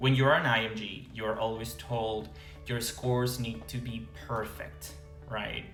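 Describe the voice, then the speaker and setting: A man at medium pitch, with lively intonation and a fairly slow pace, music in the background. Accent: Venezuelan. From Venezuela. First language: Spanish. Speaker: international medical graduate. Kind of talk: casual talk to camera.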